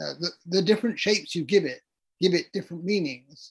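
In a southern English accent, a man with a high pitch speaks with ordinary pitch variation. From London, England. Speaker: author and retired English professor. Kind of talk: interview.

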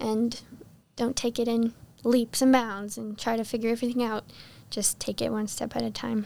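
A dark, mellow tone with an American accent, a moderate pace, long, frequent pauses and monotone, flat intonation. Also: woman, fairly high pitch for a woman. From Texas. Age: 20s. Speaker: former Bible school student. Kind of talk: interview.

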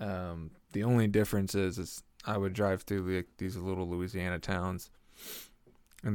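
A man with an Oklahoma accent, very deep and low in pitch, moderate pace, monotone and flat. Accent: Oklahoman Southern US. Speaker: podcast host. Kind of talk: casual chat, comedic rambling. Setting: home studio. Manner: casual, joking, profane.

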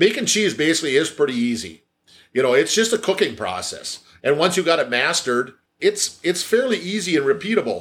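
A high-pitched man with a Wisconsin accent, fairly quick, with very wide pitch swings. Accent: Upper Midwest (Wisconsin). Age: 60s. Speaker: cheese maker, business owner. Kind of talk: casual interview. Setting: factory office with work noise. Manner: halting, many repetitions and fillers.

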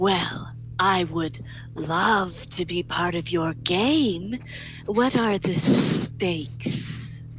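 A put-on character voice at a middle pitch and a very slow pace, with clear background noise. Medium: actual play. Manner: hissing lizard accent, smooth, wheedling.

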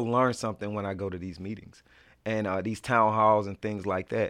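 A man speaks fairly quickly with an American accent and a bright, sharp tone. The recording is very clean, with a silent background. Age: 40s. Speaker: state politician. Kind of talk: interview.

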